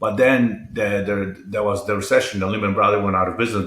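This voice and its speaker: A man is speaking. He has a Polish accent. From Poland. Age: 50s. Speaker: entrepreneur and mental health advocate. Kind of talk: interview.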